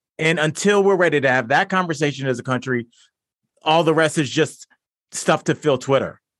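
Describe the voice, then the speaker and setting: At a fairly quick pace, a normal speaking voice is heard. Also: man. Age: 40s. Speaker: comedian. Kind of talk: casual chat. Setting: video call.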